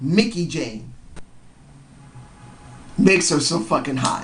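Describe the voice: Big pitch swings and a fairly bright tone come through with audible room echo.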